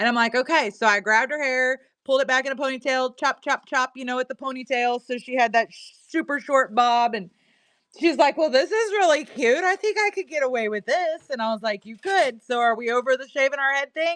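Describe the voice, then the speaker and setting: A woman speaks in a Missouri accent, her voice high and her intonation lively. She talks at a fairly quick pace with big swings in loudness, and the sound is dry and close with no echo. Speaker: live-stream seller. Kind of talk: casual live-stream chat. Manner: animated.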